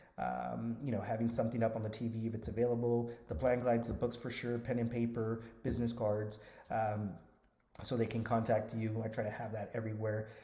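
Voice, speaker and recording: A man with a dark, mellow tone and a somewhat breathy voice speaks at medium pitch in a monotone, flat intonation, with audible room echo. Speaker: Medicare insurance agent trainer. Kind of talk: tutorial. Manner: fast.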